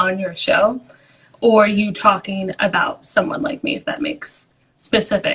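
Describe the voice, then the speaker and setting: A woman speaks at a medium pitch. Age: 20s. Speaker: caller on a live stream. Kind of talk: casual chat.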